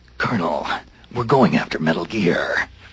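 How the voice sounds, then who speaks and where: A man uses a put-on character voice that sounds gravelly. He talks at a moderate pace. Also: medium pitch for a man. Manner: tough, stoic.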